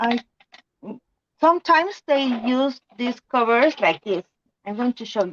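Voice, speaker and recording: A woman's high-pitched voice with a Spanish accent, fairly slow pace, long and frequent pauses, lively intonation, big swings in loudness, and a dry, close sound with no echo. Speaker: crafter co-host. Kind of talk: casual chat. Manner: halting.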